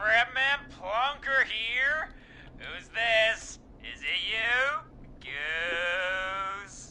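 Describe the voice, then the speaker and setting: A put-on character voice, fairly high in pitch, very slow, with lively intonation over clear background noise. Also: female-sounding voice. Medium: video game. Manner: laid-back, repetitive.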